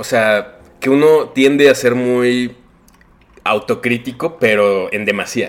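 Speaking very slowly, this man has a medium-pitched voice and a Mexican accent. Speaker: illustrator. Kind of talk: casual chat.

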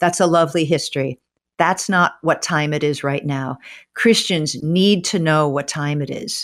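A woman speaks at a moderate pace in a very deep, low pitch, with ordinary pitch variation. The recording is very clean and the background silent. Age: 60s. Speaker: author and former English professor. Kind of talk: interview.

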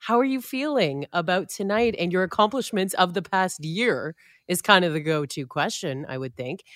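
Dry and close with no echo, a woman's ordinary speaking voice moves at a moderate pace with lively intonation. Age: 30s. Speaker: podcast co-host. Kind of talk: casual chat. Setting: remote call.

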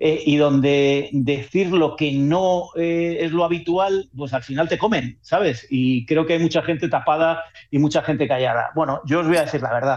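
Using ordinary pitch variation, a man with a fairly high pitch speaks at a moderate pace. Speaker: football correspondent. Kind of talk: radio sports discussion. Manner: animated.

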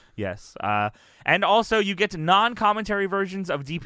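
A man speaks in an animated tone. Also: very clean recording, silent background. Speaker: wrestling podcast host. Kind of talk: casual banter recap show. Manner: animated, loud, joking.

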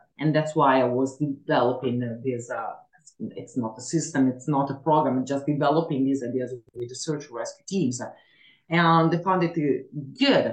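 With an Italian accent and a very deep, low pitch, a woman talks at a moderate pace with ordinary pitch variation and long, frequent pauses. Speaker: mantracking instructor. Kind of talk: interview. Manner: halting with fillers.

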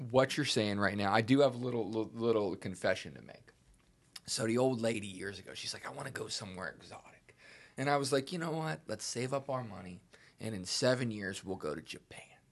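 A man with a normal speaking voice talks at a fairly quick pace. His pitch sits in the medium range, and his intonation is lively. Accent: American. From Pittsburgh, Pennsylvania. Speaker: podcast co-host. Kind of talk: casual chat.

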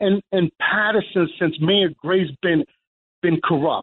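The speaker is a man with an American accent. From New Jersey. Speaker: caller. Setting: phone call. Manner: agitated, halting.

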